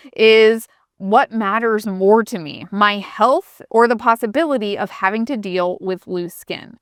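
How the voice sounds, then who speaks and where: In a plain, everyday voice, a woman speaks at a fairly high pitch with ordinary pitch variation, the sound dry and close with no echo on a very clean recording with a silent background. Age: 40s. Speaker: lifestyle YouTuber. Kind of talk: casual Q&A vlog. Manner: conversational.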